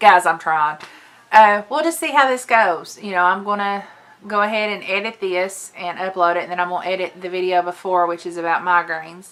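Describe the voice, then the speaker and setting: A woman speaks with a Southern US accent. Her pitch sits in the middle, with ordinary variation. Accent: southern drawl. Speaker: lifestyle and makeup vlogger. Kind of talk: casual vlog chat. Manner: chatty, hesitant with fillers.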